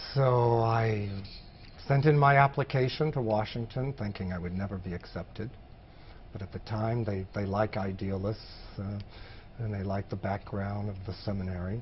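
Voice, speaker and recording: A somewhat breathy male voice, fairly low in pitch, with ordinary pitch variation. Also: moderate pace. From Maine, US. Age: 60s. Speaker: former public health field worker. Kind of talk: oral history interview.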